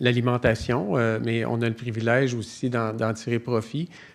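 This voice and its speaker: Speaking at a fairly slow pace, a man with a Quebec accent uses a medium pitch. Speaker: nutrition professor. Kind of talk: conference talk. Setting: conference stage with audience. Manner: hesitant, many fillers.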